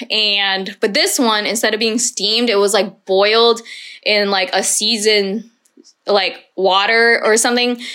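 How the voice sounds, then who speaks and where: At a fairly slow pace, a woman with a fairly high pitch and a bright, sharp tone speaks with fairly even intonation and very even loudness. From Houston, Texas, US. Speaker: chef and food pop-up founder. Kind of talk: casual interview chat.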